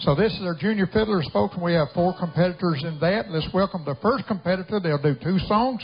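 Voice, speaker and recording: A man's high-pitched voice at a fairly quick pace, with ordinary pitch variation over light background noise. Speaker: contest announcer. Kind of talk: event emcee announcement. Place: stage.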